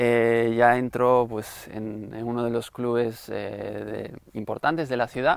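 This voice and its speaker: A man at medium pitch talks very slowly in a flat, monotone delivery. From Spain, Galicia (Santiago de Compostela). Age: 30s. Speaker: interviewee giving faith testimony. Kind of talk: testimony. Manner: halting, many fillers.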